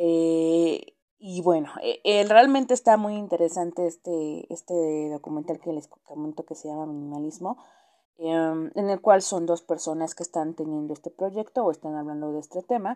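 Speaking in a Mexican accent, a woman with a dark, mellow tone talks at a fairly slow pace with ordinary pitch variation and big swings in loudness against a quiet background. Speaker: podcast host. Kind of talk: casual monologue. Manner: halting; subdued.

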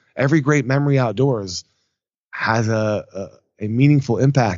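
A man speaks with an American accent. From US (Atlanta, Georgia), partly France. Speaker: outdoor startup founder. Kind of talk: interview. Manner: halting, many fillers.

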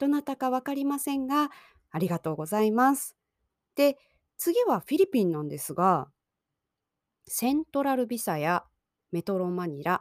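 The recording is very clean and the background silent. Her pitch swings very widely as the woman talks. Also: dry, close sound with no echo. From Japan. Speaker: Japanese language teacher podcaster. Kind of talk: language-learning podcast monologue. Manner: slow, simple learner-friendly speech.

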